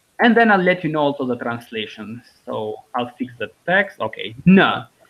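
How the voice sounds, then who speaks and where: The speaker has an Albanian accent and a moderate pace. The pitch swings very widely. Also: man. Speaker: language teacher. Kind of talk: online language lesson. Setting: live video call. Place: home room. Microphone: video call.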